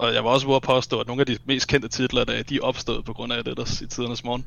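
A man's medium-pitched voice with vocal fry, very fast and monotone, flat in intonation. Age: 20s. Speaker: video game enthusiast. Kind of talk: casual chat.

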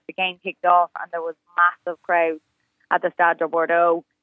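A woman speaks with an Irish accent. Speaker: sports reporter. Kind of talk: news interview.

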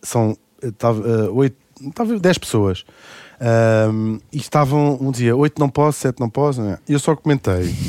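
In a very clean recording with a silent background and a dry, close sound with no echo, a man speaks in a dark, mellow tone with ordinary pitch variation. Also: medium pitch for a man, fairly slow pace. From Brazil (Rio de Janeiro). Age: 40s. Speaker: radio host and author. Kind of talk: casual chat.

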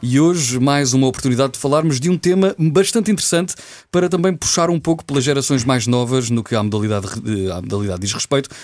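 A man's medium-pitched voice at a very fast pace, with lively intonation and hardly any pauses. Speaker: radio host. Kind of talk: radio show presenting.

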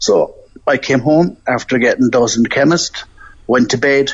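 Delivered at a moderate pace, the speech carries fairly even intonation. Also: man. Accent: Irish. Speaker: sepsis survivor. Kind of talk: personal testimony.

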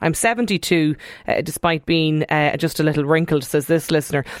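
A woman in an Irish accent. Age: 30s. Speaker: radio host. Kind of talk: radio phone-in discussion. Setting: studio.

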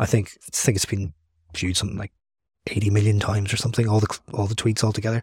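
A man with a Northern Irish accent, fairly low in pitch and somewhat breathy, in a dry, close sound with no echo. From Northern Ireland, Derry. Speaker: author and journalist. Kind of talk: casual chat.

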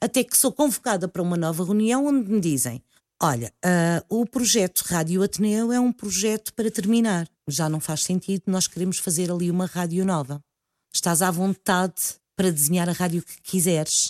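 Over a silent background in a very clean, dry, close recording with no echo, a woman speaks at a moderate pace with medium pitch and lively intonation. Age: 50s. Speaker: radio presenter. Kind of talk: interview.

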